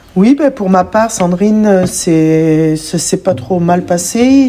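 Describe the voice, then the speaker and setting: Noticeable background noise sits under a woman speaking at a very slow pace. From Picardy, northern France. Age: 40s. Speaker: podcast guest, mother. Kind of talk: testimony. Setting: in-person podcast recording.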